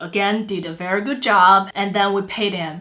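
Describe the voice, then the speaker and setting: With a Chinese accent, a woman speaks at a moderate pace. Her medium-pitched voice has a bright, sharp tone. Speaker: vlogger. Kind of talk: storytelling. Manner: halting.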